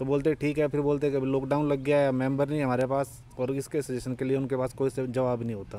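With hardly any pauses, a man talks at a moderate pace in a flat monotone, the sound dry and free of echo. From Delhi, India (village). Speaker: temple committee member; interviewee. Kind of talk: interview. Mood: complaining about civic problems. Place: open country. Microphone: handheld.

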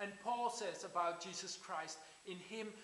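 A man with a fairly bright tone and ordinary pitch variation speaks at a fairly slow pace, with audible room echo around him.

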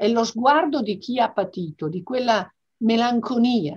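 A woman speaks in a somewhat breathy voice with very wide pitch swings. The background is quiet. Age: 60s. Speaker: business executive; interviewee. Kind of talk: interview; interview answer. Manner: hesitant with fillers. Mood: reflective, emotional family memories. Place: home room. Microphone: video call.

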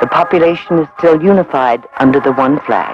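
A man talks over clear music in the background, in a dry sound with no echo. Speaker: documentary narrator. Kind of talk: documentary narration. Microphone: old recording.

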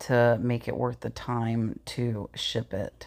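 A woman speaks at a slow pace with vocal fry. Her tone is slightly mellow.

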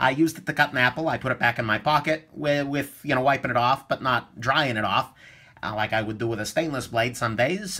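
A man's very fast speech over a quiet background. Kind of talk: tutorial.

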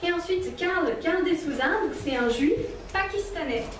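A high-pitched woman's voice with very wide pitch swings, light background noise and audible room echo. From Switzerland. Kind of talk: testimony and teaching talk. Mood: warm, smiling. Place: hall.

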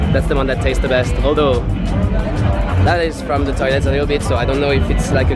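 Fairly quick speech in a dry sound with no echo, over loud music in the background. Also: man. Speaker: festival vlogger. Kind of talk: casual vlog chat. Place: street. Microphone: phone near.

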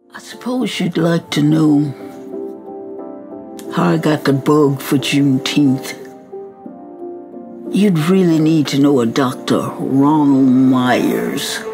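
Over clear background music, a woman with a very deep, low voice speaks very slowly with long, frequent pauses. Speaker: activist. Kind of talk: storytelling message to students. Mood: warm, earnest storytelling. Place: home room.

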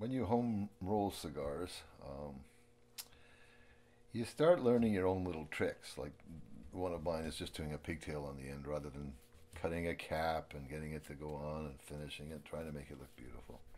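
A man with a very deep, low pitch and a dark, mellow tone speaks at a moderate pace, his loudness swinging widely while his pitch varies in an ordinary way. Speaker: amateur cigar roller. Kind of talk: casual talk while doing a task (unintentional ASMR).

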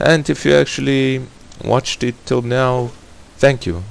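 Speaking at a moderate pace, a man has a non-native accent. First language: not English. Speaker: gaming YouTuber. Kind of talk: gameplay commentary. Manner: hesitant, awkward.

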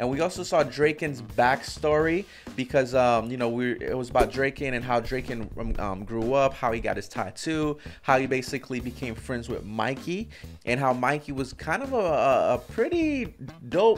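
Faint music plays in the background while the speaker moves at a moderate pace with ordinary pitch variation. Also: man. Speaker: reaction channel host. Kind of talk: casual recap chat. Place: home room. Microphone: studio mic.

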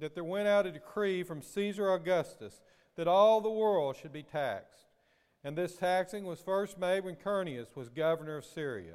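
A high-pitched man at a moderate pace, with ordinary pitch variation and a quiet background. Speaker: pastor. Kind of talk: scripture reading, prayer and sermon. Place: church. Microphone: podium.

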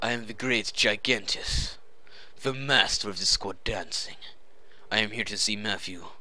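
Moderate pace in a man's voice of medium pitch. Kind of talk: comic overacting. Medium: machinima. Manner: pompous, formal, grandiloquent.

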